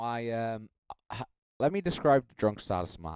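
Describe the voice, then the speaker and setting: A man with a slight Irish accent and a dark, mellow tone speaks at a moderate pace, the sound dry and close with no echo. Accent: mild Irish. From Ireland. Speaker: streamer. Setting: live stream.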